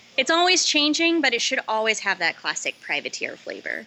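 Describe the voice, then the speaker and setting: Noticeable background noise sits behind a woman with an American accent. She talks at a moderate pace with ordinary pitch variation. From Los Angeles, US. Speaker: head distiller. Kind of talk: interview.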